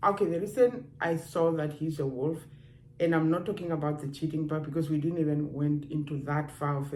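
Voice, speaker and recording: A woman with a non-native accent speaks in a very deep, low pitch and a dark, mellow tone with fairly even intonation. Audible room echo surrounds her voice. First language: not English. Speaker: dating and relationships vlogger. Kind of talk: casual advice talk to camera. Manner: conversational, with hesitations.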